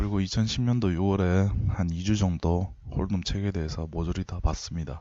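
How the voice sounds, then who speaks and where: A man's very deep, low voice at a moderate pace, fairly even in intonation, with hardly any pauses. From Daegu, South Korea (Gyeongsang region). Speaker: poker coach. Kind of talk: lecture.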